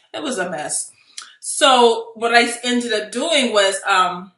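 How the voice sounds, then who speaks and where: Her voice is fairly high, with a bright, sharp tone and ordinary pitch variation. Audible room echo surrounds the woman. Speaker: real estate investor and coach. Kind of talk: video tutorial. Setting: home office. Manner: high energy.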